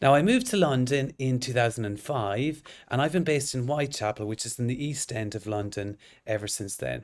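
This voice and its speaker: Speaking fairly quickly in an Irish accent, a man keeps a medium pitch with ordinary variation, in a very clean recording with a silent background. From northwest Ireland (County Sligo). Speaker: orthodontist and lecturer. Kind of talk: lecture.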